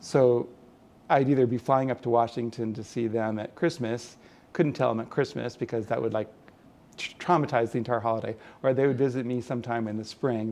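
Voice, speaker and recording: A man with a Californian accent, medium pitch, fairly even intonation and a fairly quick pace. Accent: General American (Californian). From California, San Jose. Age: 60s. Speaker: illustrator. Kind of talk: oral history interview. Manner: halting, many fillers and repeats.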